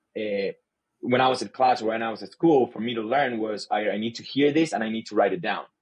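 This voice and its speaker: A man with a Spanish accent, fairly quick in pace, with ordinary pitch variation. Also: medium pitch for a man. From Chile. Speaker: sales leader. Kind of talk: podcast interview. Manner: halting, repeats words.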